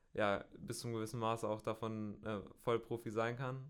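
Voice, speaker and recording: A medium-pitched man's voice at a fairly slow pace. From Bielefeld, North Rhine-Westphalia, Germany. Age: 20s. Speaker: professional road cyclist. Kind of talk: interview. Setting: studio. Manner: hesitant, many fillers.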